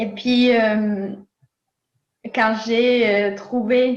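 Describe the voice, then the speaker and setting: A woman's fairly high, somewhat breathy voice at a very slow pace, fairly even intonation, and audible room echo. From Nicaragua. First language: Spanish (speaking French). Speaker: philosopher. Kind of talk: interview. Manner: hesitant, many fillers.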